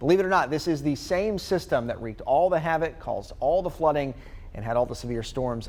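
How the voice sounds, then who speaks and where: In a normal speaking voice, a man with an American accent talks at a fairly quick pace, his fairly high pitch carrying lively intonation. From North Carolina, USA. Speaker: TV meteorologist. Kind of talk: TV weather forecast. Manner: clear, steady, friendly.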